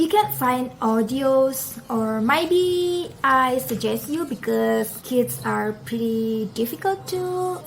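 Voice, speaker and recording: Speaking very slowly with an Indonesian accent, this voice comes through over noticeable background noise. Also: woman. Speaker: parenting vlogger. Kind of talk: tutorial. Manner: casual, conversational.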